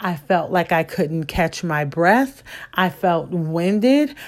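This woman has an American accent and a medium pitch. She speaks at a very slow pace. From US Midwest. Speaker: podcast host, former HR trainer. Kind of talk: solo podcast talk giving advice.

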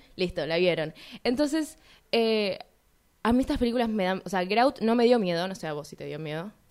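On a very clean recording with a silent background, a woman talks at a fairly quick pace and medium pitch, with very wide pitch swings and big swings in loudness. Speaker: radio film show co-host. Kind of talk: casual chat.

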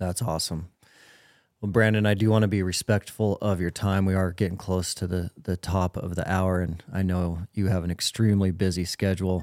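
A man with a very deep, low pitch talks at a moderate pace in a monotone, flat intonation, the sound dry and close with no echo. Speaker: podcast host. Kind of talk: podcast interview, intro and outro.

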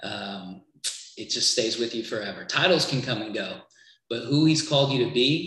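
Audible room echo surrounds a man's bright, sharp voice, which has ordinary pitch variation and a moderate pace. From Trinidad. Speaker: creative agency worker for churches. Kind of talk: casual interview chat.

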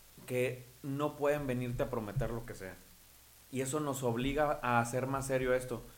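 A man talks at a moderate pace. His intonation stays fairly even, and audible room echo is heard around him. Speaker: local politician. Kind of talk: political interview.

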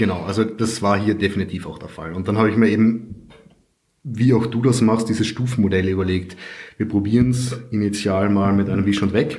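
In a slight Carinthian accent, a man speaks quickly-ish in a fairly low pitch with fairly even intonation and audible room echo. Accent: little Carinthian accent audible. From Austria, Carinthia. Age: 30s. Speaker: IT consultant and property investor. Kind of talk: interview.

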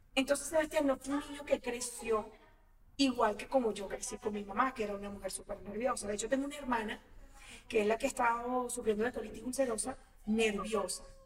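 The voice moves at a fairly quick pace with fairly even intonation and big swings in loudness, over noticeable background noise. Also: woman, high pitch for a woman. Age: 40s. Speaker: actress. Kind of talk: casual chat.

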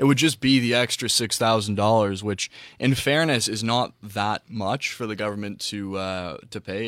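A man's fairly low-pitched, an unremarkable speaking voice, with ordinary pitch variation and a moderate pace. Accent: Canadian. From Ontario, Canada (Whitby). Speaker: student panelist. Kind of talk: panel discussion.

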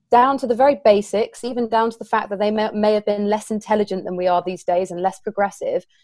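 This woman speaks in a southern English accent. Her voice sits fairly high, with ordinary pitch variation. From southern England. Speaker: co-host.

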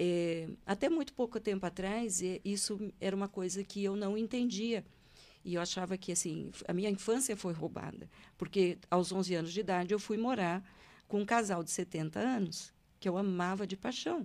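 In a very clean recording with a silent background, a woman with a plain, everyday voice speaks at a medium pitch and a moderate pace. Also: ordinary pitch variation. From Brazil, Paraná (Londrina). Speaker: hypnotherapist, retired public prosecutor. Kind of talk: interview, life story. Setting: studio.

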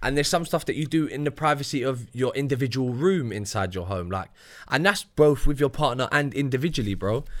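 Recorded very cleanly over a silent background, a man with a London accent speaks at a medium pitch with lively intonation. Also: fairly quick pace. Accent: London multicultural English. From UK. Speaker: podcast co-host. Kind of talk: casual chat.

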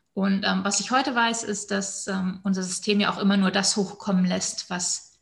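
At a fairly quick pace, a woman of medium pitch talks in a monotone, flat way. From northern Germany, Hannover area. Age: 30s. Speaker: breathwork and women's coach. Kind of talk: personal testimony in casual interview.

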